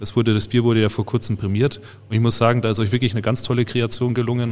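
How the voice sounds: A man is speaking. His pitch is medium.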